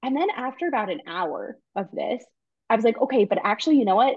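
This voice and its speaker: Speaking with a New York accent, a woman's voice moves through very wide pitch swings. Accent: New York American. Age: 20s. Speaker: guest. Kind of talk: casual chat.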